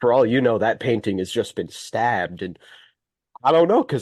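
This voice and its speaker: A man with an American accent speaks in an unremarkable speaking voice at a medium pitch, fairly quick pace and lively intonation, against a quiet background. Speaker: call participant. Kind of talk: casual chat.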